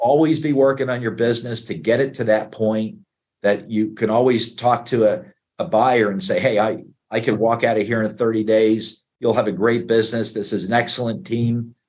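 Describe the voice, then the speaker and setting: A man speaks at a moderate pace with a medium pitch and fairly even intonation, in an ordinary speaking voice. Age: 60s. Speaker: investment banker, business broker. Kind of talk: interview.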